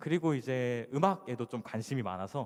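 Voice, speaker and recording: A man at a medium pitch. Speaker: conference speaker, iOS developer. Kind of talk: conference talk. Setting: stage with audience. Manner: fast when excited.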